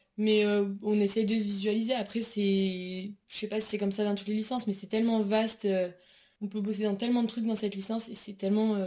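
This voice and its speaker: A woman speaks fairly quickly in a fairly high, somewhat breathy voice with a dark, mellow tone and flat, monotone intonation. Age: 20s. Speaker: university student. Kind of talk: interview. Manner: hesitant with many fillers.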